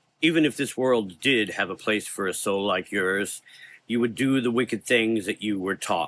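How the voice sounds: The voice reads naturally. Its pitch moves in an ordinary way.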